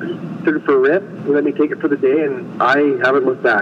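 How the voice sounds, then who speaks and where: The speaker has a Western Canadian accent and a fairly quick pace. The intonation is fairly even, with noticeable background noise behind it. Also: man. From British Columbia, Canada. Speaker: snow bike racer. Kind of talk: interview. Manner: casual, laid-back.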